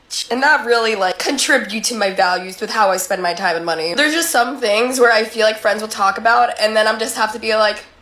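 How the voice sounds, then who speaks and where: Over noticeable background noise, a woman with a fairly high pitch speaks at a very fast pace with hardly any pauses. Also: ordinary pitch variation. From US, Colombian immigrant household. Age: 20s. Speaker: social media creator. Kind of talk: casual vlog monologue. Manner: casual, many fillers.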